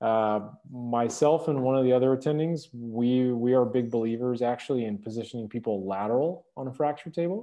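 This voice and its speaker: At a fairly quick pace, a man with an ordinary speaking voice talks at medium pitch. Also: ordinary pitch variation. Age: 30s. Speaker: orthopedic trauma surgeon. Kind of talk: interview.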